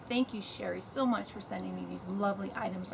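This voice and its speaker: A woman speaks with an American accent. Noticeable background noise runs behind her. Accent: between New York and Virginia. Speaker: lifestyle vlogger. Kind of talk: unboxing video, casual monologue. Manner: casual, hesitant with fillers.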